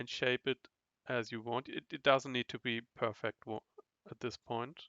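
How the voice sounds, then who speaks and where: With a non-native accent, this man speaks at a moderate pace and medium pitch, his intonation monotone and flat. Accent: non-native English, trouble with th sound. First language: not English. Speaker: online course instructor. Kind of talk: tutorial. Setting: recorded online class with chat. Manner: halting, repeats words.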